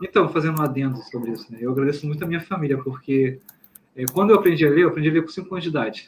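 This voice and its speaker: Somewhat breathy, very fast delivery, its pitch varying in an ordinary way. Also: man, fairly high pitch for a man. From Brazil, Rio de Janeiro. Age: 30s. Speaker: author and journalist. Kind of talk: interview conversation.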